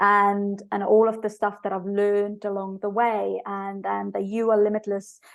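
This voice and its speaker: A woman's medium-pitched voice in an Estonian accent, monotone and flat at a moderate pace, over a quiet background. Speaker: business coach. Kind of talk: podcast interview. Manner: halting, many fillers.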